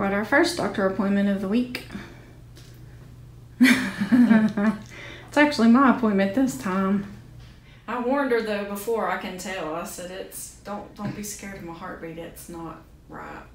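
A woman speaks with a rural Southern US accent at a fairly slow pace. Her loudness swings widely, and audible room echo surrounds her. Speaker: vlogger. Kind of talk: casual vlog talk to camera. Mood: calm, cheerful. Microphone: phone near.

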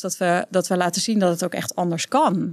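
A fairly quick, fairly evenly intoned delivery, dry with no echo, over a quiet background. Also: woman. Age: 30s. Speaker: entrepreneur, author and speaker; speaker. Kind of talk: casual interview. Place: studio. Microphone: studio mic.

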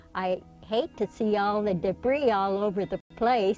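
Music plays in the background as the speaker talks with ordinary pitch variation. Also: woman. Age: 80s+. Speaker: desert gardener. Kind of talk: documentary interview answer.

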